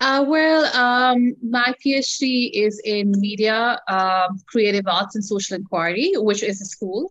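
A woman with a fairly high voice talks very slowly with lively intonation. She leaves hardly any pauses. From Pakistan. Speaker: journalist and podcaster. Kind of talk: casual interview chat.

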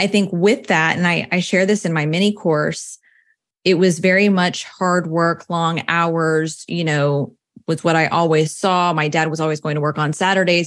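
Against a quiet background, a woman with a plain, everyday voice speaks at a moderate pace in a fairly low pitch with fairly even intonation. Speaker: personal finance coach. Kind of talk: interview.

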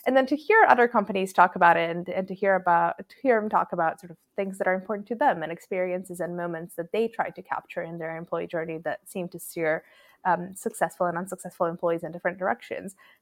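A very fast pace with big swings in loudness and ordinary pitch variation, the sound dry and close with no echo on a very clean recording with a silent background. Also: woman, medium pitch for a woman. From Croatia. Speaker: people analytics researcher. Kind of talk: podcast interview. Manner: hesitant with frequent ums.

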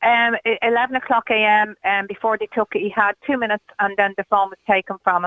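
Speaking fairly quickly with hardly any pauses, a woman with an Irish accent keeps a fairly high pitch and fairly even intonation. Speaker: caller, mother of stranded supporter. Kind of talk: radio phone-in interview. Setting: phone call.

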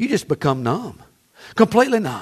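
Fairly quick, animated delivery with a Southern US accent. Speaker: pastor. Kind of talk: sermon. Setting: church. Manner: animated, folksy, exhorting the congregation with humor.

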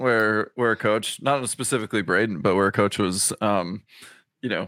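Speaking at a fairly quick pace, a man uses an ordinary speaking voice with a fairly low pitch and ordinary pitch variation. The recording is very clean, with a silent background. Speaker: podcast host; former swimmer. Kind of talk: casual chat.

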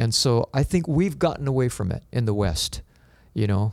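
At a moderate pace, a man speaks in a plain, everyday voice at medium pitch. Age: 60s. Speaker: pastor. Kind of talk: interview conversation.

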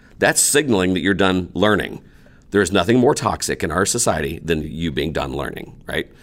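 With lively intonation, a man speaks at a moderate pace in a very deep, low pitch. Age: 40s. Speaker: teacher and entrepreneur. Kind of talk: interview. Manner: animated.

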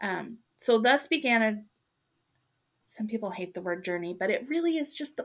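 On a very clean recording with a silent background, a woman with a plain, everyday voice speaks at a moderate pace, using a fairly high pitch and lively intonation. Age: 40s. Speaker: podcast host. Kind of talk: casual chat.

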